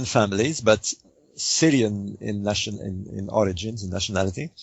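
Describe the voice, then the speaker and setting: The speaker talks at a fairly slow pace. There is a French accent. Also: man. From Egypt. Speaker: author and researcher. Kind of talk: radio interview. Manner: hesitant, many fillers.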